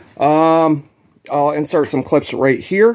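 Against a quiet background, a man with an unremarkable speaking voice talks at a fairly slow pace with lively intonation. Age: 30s. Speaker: YouTube ATV builder. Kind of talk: casual vlog talk. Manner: casual, filler-heavy. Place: garage. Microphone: phone near.

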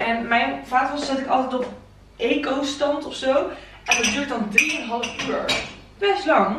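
Audible room echo hangs around a woman's fairly bright tone as she speaks at a moderate pace with ordinary pitch variation.

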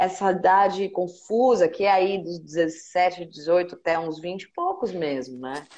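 A woman speaks very slowly with hardly any pauses, in a fairly low voice with ordinary pitch variation. Her loudness swings widely. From Brazil, São Paulo (Penha); São Paulo. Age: 40s. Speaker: singer and live interview host; live interview host. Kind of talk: casual interview chat. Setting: Instagram live stream. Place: home room.

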